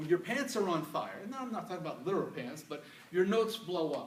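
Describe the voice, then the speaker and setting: A man talks with lively intonation amid noticeable background noise and audible room echo. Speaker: public speaker. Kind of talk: presentation to an audience. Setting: stage with audience. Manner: fast.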